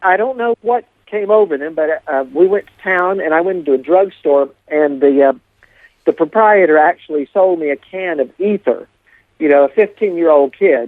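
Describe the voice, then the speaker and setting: Here a man speaks with a high pitch. His pace is moderate, and his pitch varies in an ordinary way. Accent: Appalachian. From Appalachia, eastern United States. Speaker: storyteller. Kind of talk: interview storytelling.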